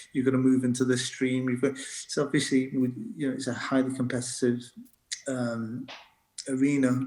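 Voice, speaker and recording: The delivery is monotone and flat, at a moderate pace with long, frequent pauses. A slight northern English accent comes through. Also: man, medium pitch for a man. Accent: light northern English. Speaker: doctor and medical lecturer. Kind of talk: interview conversation. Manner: halting, many fillers and restarts.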